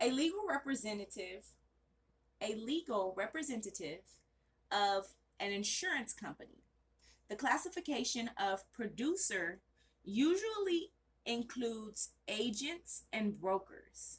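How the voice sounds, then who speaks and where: Loud, fairly high female voice with very wide pitch swings, a fairly slow pace and long, frequent pauses. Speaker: study channel vlogger. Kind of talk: reading aloud study notes. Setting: bedroom at home, off camera. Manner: casual, self-correcting.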